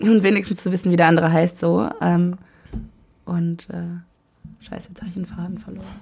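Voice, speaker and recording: A woman with a fairly low pitch talks at a fairly quick pace with ordinary pitch variation. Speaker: podcast guest. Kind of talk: casual chat. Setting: home room recording.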